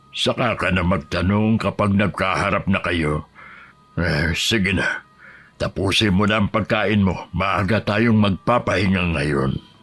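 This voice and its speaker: In a put-on character voice, a man speaks raspy and fairly low at a fairly slow pace. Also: very even loudness. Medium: audio drama. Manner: gentle, hesitant, filler "eh".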